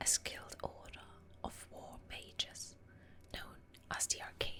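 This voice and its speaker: Over noticeable background noise, a woman is whispering at a very slow pace. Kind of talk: ASMR lore reading, whispered story narration. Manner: whispered, soft, relaxing.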